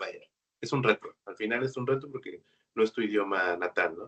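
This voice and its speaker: A man talks at a fairly quick pace. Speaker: automation programmer, freelance engineer. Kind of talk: webinar interview.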